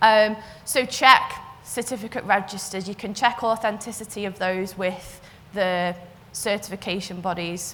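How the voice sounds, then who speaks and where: A woman with a Liverpool accent talks at a moderate pace and medium pitch, her intonation fairly even but her loudness swinging widely, with audible room echo. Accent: Scouse. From northern England, Liverpool. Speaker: cyber security consultant. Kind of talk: conference talk.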